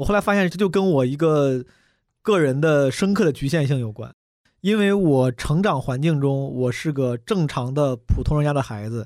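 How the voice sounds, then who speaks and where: A man with a fairly high pitch and lively intonation is heard in a very clean recording against a silent background. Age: 30s. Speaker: stand-up comedian. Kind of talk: casual chat. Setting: studio. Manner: fast.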